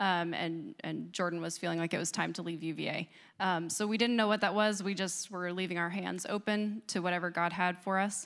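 A woman with an American accent and a plain, everyday voice speaks at a fairly low pitch and a fairly quick pace, with hardly any pauses. Her intonation stays fairly even on a very clean recording with a silent background. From US Northeast. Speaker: disaster response worker. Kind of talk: testimony. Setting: church.

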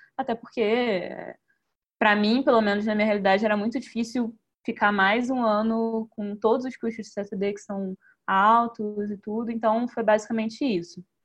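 A woman's somewhat breathy voice at a moderate pace, in a monotone, flat intonation. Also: fairly high pitch for a woman. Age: 20s. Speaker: successful candidate for the diplomatic service exam. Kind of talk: interview in a live online talk.

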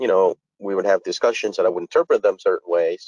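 A man speaks with a Spanish accent. The sound is dry and close, with no echo. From Dominican Republic, moved to South Florida at 12. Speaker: architect and panelist. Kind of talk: panel discussion. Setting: online webinar.

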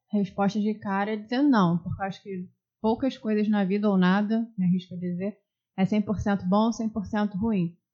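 A woman's medium-pitched voice, dark, mellow and somewhat breathy, at a moderate pace with fairly even intonation. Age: 30s. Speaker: podcast co-host, former teacher. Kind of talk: casual chat.

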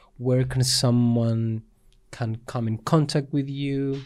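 Recorded very cleanly against a silent background, a man talks at a fairly slow pace. His medium-pitched voice has a dark, mellow tone and fairly even intonation. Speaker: interviewer. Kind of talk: interview.

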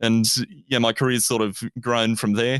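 A man's medium-pitched voice with an Australian accent, dry and close with no echo, over a quiet background. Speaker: university student, trainee teacher, former radio presenter. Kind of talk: casual interview.

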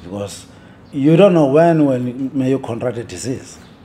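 Medium-pitched male speech at a moderate pace over noticeable background noise. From South Africa. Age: 60s. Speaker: undertaker. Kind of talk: interview.

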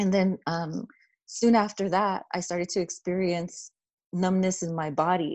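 In an unremarkable speaking voice, a woman talks at a fairly slow pace, medium in pitch with fairly even intonation. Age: 40s. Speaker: public health researcher. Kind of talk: interview.

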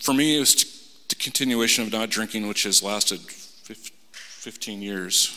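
A man's fairly low pitch and fairly even intonation against noticeable background noise. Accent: American. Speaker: salesman. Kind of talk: testimony. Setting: church. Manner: halting.

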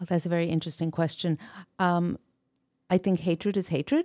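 In a very clean recording with a silent background, a woman speaks in a fairly low pitch with a dark, mellow tone. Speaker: author and poet. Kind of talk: radio interview.

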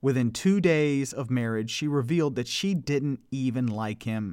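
On a very clean recording with a silent background, a man speaks at a fairly slow pace in a dramatic tone. His pitch is medium, with ordinary variation. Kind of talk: true-crime narration, scripted storytelling. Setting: solo podcast. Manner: measured, dramatic storyteller; casual and relaxed in sign-off.

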